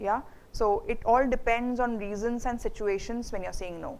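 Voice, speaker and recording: A woman speaks in a fairly high pitch with an Indian accent. Her pace is moderate and her intonation fairly even. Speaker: HR manager, guest speaker. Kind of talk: Q&A talk to students. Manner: hesitant, many fillers.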